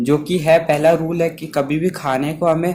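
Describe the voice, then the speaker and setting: A man's voice over noticeable background noise. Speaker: anime movie explainer. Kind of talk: casual movie recap narration. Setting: no microphone, unedited voice. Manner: unscripted.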